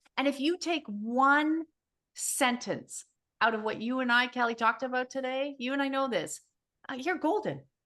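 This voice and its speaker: A woman with a high pitch and a bright, sharp tone speaks in an animated way at a moderate pace, with ordinary pitch variation. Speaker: energy healer. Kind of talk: casual chat.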